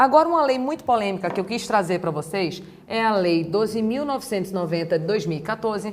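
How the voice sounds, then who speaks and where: A woman's animated voice with lively intonation and audible room echo. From Brazil, Recife, Pernambuco. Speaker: law teacher. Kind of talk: lecture.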